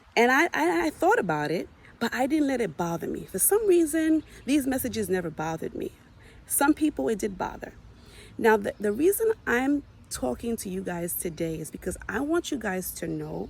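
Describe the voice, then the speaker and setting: A woman's somewhat breathy, fairly high voice at a moderate pace, with very wide pitch swings. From US, Haitian family. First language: Haitian Creole. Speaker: video blogger. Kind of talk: personal talk to camera.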